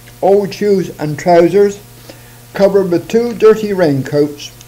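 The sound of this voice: A man's high-pitched voice with a dark, mellow tone at a slow pace. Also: ordinary pitch variation.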